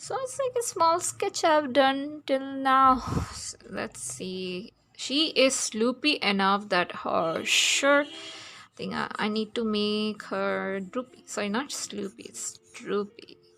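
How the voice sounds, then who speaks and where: A woman at a very slow pace with hardly any pauses, big swings in loudness, and noticeable background noise. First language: not English. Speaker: digital artist, art youtuber. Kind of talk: casual drawing tutorial chat. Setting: home flat near road. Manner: halting, many fillers. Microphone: voice too quiet vs music.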